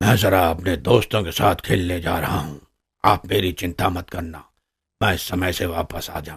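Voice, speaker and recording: A man's raspy, cartoonish character voice with a very deep, low pitch at a moderate pace. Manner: proud, assertive.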